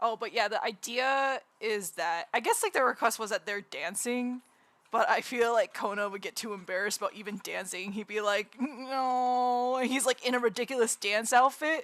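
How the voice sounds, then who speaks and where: A woman's fairly high, normal speaking voice with hardly any pauses. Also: ordinary pitch variation, moderate pace. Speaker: streamer and digital artist. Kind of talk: casual live-stream chat while drawing.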